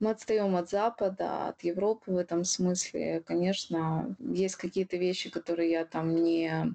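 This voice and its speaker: In a quiet background, a woman with a fairly low pitch and a dark, mellow tone speaks at a fairly slow pace with fairly even intonation. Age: 30s. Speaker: podcast co-host, blogger producer. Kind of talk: casual chat.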